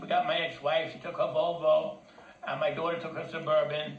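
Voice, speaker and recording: A man talks at a fairly quick pace while audible room echo and noticeable background noise fill the recording. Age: 60s. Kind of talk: personal complaint, telling a story. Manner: halting, with repeated words.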